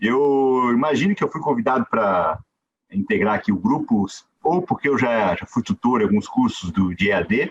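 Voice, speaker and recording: A man's voice at a moderate pace with very wide pitch swings, dry and close with no echo. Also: medium pitch for a man. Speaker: judge. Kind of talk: conference talk. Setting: video call. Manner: informal, conversational.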